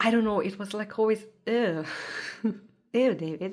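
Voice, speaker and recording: Speaking at a moderate pace, a woman with a non-native accent has a fairly high pitch and ordinary pitch variation. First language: not English. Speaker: tarot content creator. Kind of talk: casual show-and-tell vlog. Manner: animated.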